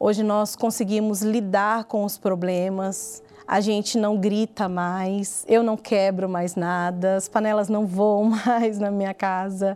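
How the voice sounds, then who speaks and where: At a very slow pace, a woman speaks with medium pitch. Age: 40s. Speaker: dance teacher. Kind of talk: testimony.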